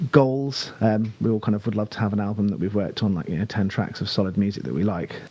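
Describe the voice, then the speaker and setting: The speech comes at a very fast pace in a British accent. Pitch varies in an ordinary way. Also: man. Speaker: singer in a band. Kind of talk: podcast interview. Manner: hesitant, many fillers.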